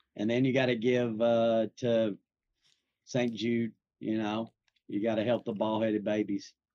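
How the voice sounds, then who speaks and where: A man with a strong Southern US accent talks at a fairly slow pace, his medium pitch held in a flat monotone. His dark, mellow tone sounds dry and close with no echo, broken by long, frequent pauses. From Nashville, Tennessee. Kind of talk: casual chat.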